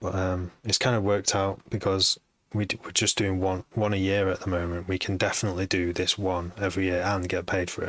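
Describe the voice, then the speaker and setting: On a very clean recording with a silent background, a man with a Manchester accent talks fairly quickly in a very deep, low voice with monotone, flat intonation. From Manchester, northern England. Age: 40s. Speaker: music producer and DJ. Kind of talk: live stream chat. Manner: halting.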